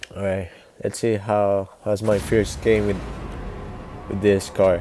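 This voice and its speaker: Over music in the background, a man with a non-native accent speaks very slowly at a fairly low pitch and with fairly even intonation. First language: Spanish. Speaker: gaming youtuber. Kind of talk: gameplay commentary. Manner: halting.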